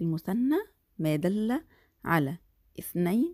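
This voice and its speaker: A woman's medium-pitched, dark, mellow voice with an Egyptian accent at a very slow pace, in a dry, close sound with no echo. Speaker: primary school Arabic teacher. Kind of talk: lecture.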